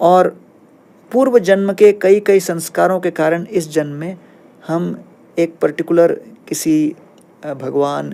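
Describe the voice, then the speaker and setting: Calm in tone, a man speaks at a high pitch with ordinary pitch variation and long, frequent pauses. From India, Bhilai (Kerala family). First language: Tamil and Malayalam (speaking Hindi). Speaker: spiritual teacher. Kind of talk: podcast interview. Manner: calm explanatory.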